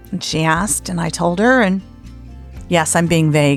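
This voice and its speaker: A woman speaks at a moderate pace with an American accent. Music plays in the background. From Southern United States. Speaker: podcast host, storyteller. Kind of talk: podcast host intro and personal story.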